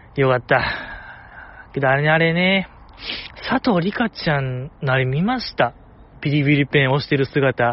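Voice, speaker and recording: A Kansai accent at a moderate pace, with ordinary pitch variation, long and frequent pauses, and noticeable background noise. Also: man, fairly high pitch for a man. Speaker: podcast host. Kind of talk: casual solo talk. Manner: soft-spoken.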